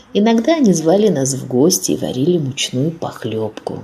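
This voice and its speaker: A woman's very deep, low voice, fairly slow, with very wide pitch swings against noticeable background noise. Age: 80s+. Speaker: deportation survivor, eyewitness. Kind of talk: testimony.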